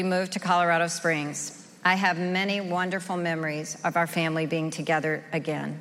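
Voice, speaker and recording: A woman with a fairly low pitch speaks at a moderate speed in an ordinary speaking voice. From rural Oklahoma, US. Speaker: recovery group member sharing her story. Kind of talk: testimony.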